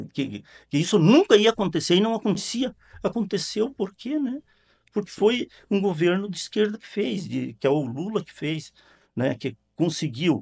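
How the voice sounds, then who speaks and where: Speaking at a moderate pace in a high pitch, a man's voice shows very wide pitch swings and big swings in loudness, with a dry, close sound and no echo. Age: 70s. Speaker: local party president. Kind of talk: interview. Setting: studio. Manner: halting, many repetitions and fillers.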